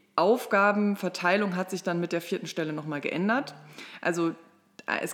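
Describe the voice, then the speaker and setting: Moderately paced, fairly low female voice, an unremarkable speaking voice with ordinary pitch variation. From Ruhr area, Germany (Mülheim an der Ruhr). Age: 30s. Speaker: state politician. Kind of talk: political interview.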